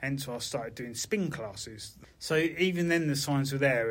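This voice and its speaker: Using a plain, everyday voice, a man talks at a moderate pace with fairly high pitch and ordinary pitch variation. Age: 50s. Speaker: bank worker with Parkinson's. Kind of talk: casual chat.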